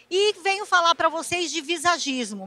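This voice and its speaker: At a fairly slow pace, a woman with a high pitch speaks in a raised, projected voice with a bright, sharp tone. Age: 60s. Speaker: visagism lecturer. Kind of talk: lecture.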